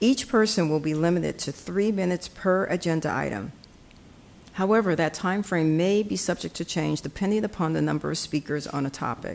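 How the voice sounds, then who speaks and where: She speaks in a normal speaking voice at a fairly low pitch, with ordinary pitch variation. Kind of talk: formal meeting announcements. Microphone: podium.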